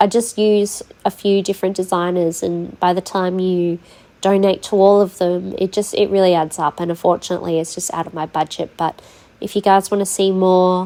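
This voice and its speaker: A woman's medium-pitched voice with an Australian accent, dark and mellow in tone, monotone and flat, at a moderate pace. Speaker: gaming YouTuber. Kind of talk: tutorial. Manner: hesitant, many fillers.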